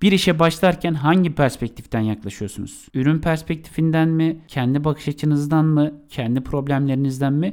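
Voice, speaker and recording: In a very clean recording with a silent background, a man talks at a moderate pace with fairly high pitch in a plain, everyday voice. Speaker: podcast co-host on marketing. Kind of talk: podcast monologue on marketing.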